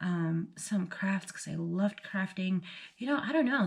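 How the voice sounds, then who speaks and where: Her voice is somewhat breathy and medium in pitch. This woman keeps to a moderate pace. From Bolivia. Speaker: vlogger, military spouse. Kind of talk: casual vlog chat. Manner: casual, hesitant with fillers.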